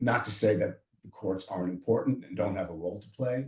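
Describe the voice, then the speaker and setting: This man's voice has a dark, mellow tone and is somewhat breathy. His pitch varies in an ordinary way. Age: 60s. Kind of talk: panel discussion. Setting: video call. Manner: animated.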